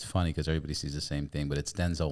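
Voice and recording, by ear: A man speaks fast at an extremely low pitch. His tone is slightly mellow and his intonation fairly even.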